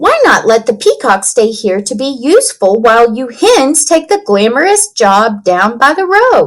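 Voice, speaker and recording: A woman speaks in a put-on character voice, pitched high with very wide swings. Her pace is moderate. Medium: read story. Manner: slow, unhurried.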